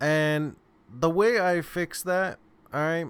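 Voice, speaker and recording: A man talking at a very slow pace. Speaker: software development instructor. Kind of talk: tutorial.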